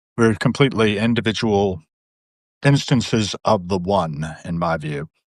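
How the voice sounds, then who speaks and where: Over a quiet background, a man with an ordinary speaking voice speaks fairly low and fairly slowly, with lively intonation. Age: 60s. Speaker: panel guest. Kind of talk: casual chat.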